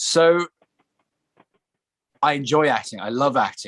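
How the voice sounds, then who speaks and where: A man with an English accent is heard in a dry, close sound with no echo. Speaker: actor. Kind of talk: interview.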